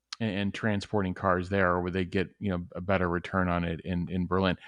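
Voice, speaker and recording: The speaker has a Chicago accent. The background is quiet. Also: man. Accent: outside of Chicago. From Chicago area, US. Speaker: tesla investing panelist. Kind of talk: casual panel discussion. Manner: halting, with many fillers and repeats.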